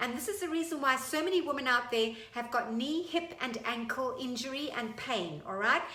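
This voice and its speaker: A raised, projected voice with an animated tone and lively intonation moves at a moderate pace with hardly any pauses. Audible room echo and noticeable background noise are present. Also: woman, high pitch for a woman. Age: 50s. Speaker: fitness instructor. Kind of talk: tutorial.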